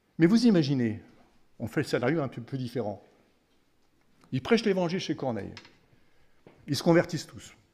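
Speaking fairly quickly but with long, frequent pauses, a man uses a somewhat breathy, dark, mellow tone at a fairly high pitch, with very wide pitch swings and big swings in loudness. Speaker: preacher. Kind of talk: sermon. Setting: family camp gathering. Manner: teaching, explanatory, conversational; earnest, devout. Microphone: podium.

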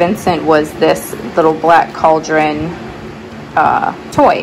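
Noticeable background noise runs under a woman's voice. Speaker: thrift reseller. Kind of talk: casual vlog chat. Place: garage. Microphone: phone near.

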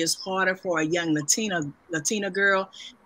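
At a moderate pace, a woman with a mid-range pitch talks in an ordinary speaking voice. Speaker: moderator. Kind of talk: interview. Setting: video call.

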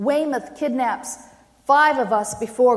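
With an American accent, a woman speaks at a fairly slow pace over a quiet background. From Maine, US. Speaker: poet. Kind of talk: poetry reading. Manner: halting. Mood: solemn, impassioned. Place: hall.

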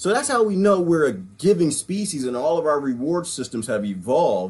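This man talks at a fairly quick pace, his pitch swinging very widely. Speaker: vlogger or discussion speaker. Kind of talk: casual commentary. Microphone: webcam.

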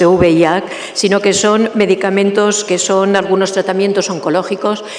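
A woman speaks at a medium pitch and a moderate pace. Background noise is clearly audible.

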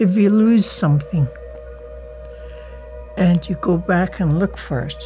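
With an Alaskan accent, a woman talks at a fairly slow pace with long, frequent pauses over light background noise. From Kake, Alaska. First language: Tlingit. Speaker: Elder and Tlingit language teacher. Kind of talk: interview answer. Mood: reflective, earnest. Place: home room.

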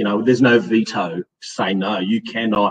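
With an Australian accent, the speaker shows ordinary pitch variation over light background noise. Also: man. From Australia, Western Sydney. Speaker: hydrogeologist and associate professor; presenter. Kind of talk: audience Q&A; lecture. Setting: stage with live and online audience. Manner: halting, with many fillers.

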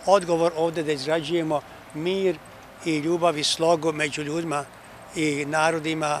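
A man talks at a fairly slow pace in a monotone, flat way. There is light background noise, and the sound is dry with no echo. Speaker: bishop giving a press statement. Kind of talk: interview answer. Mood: calm, reflective. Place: garden. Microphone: handheld.

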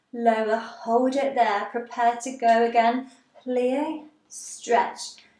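A woman with a high pitch speaks at a very slow pace. Room echo is audible, and the background is quiet. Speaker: ballet teacher. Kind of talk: tutorial instruction. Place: empty room. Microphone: camera far.

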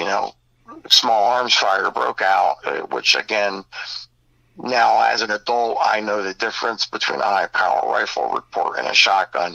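The man's fairly slow speech comes across dry and close, with no echo. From northeastern Pennsylvania. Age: 50s. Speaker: dogman encounter witness. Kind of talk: interview storytelling. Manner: halting, many fillers.

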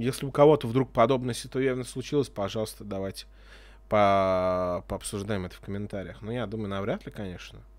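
The pace is fairly quick, with ordinary pitch variation. Loudness swings in a big way. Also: man, fairly low pitch for a man. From Russia. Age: 30s. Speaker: video blogger. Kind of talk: casual monologue; casual vlog monologue. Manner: casual, hesitant. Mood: sarcastic, frustrated. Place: home room. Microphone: studio mic.

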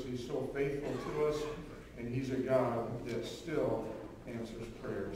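A man speaks with fairly even intonation in a space with strong room echo. Light background noise can be heard. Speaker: pastor at pulpit. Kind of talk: church announcements. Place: church.

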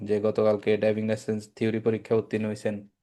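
A man talks at a fairly low pitch in a dark, mellow tone. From Bangladesh, Feni. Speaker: driving school instructor. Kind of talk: promotional intro; interview.

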